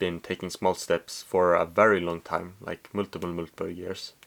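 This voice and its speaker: In a very clean recording with a silent background, a man with a Swedish accent speaks at a moderate pace in a very deep, low pitch with monotone, flat intonation. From Sweden. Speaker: vlogger. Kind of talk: casual monologue to camera. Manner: halting, many fillers.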